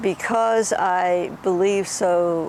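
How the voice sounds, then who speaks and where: With noticeable background noise behind her, a woman speaks at a fairly low pitch with fairly even intonation. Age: 80s+. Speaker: yoga teacher. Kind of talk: interview. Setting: outdoors. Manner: halting.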